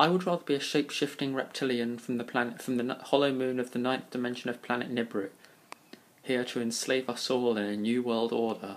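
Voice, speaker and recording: The delivery moves at a fairly quick pace. Its intonation stays fairly even. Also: man, medium pitch for a man. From Kingston upon Thames, London. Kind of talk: casual talk to camera.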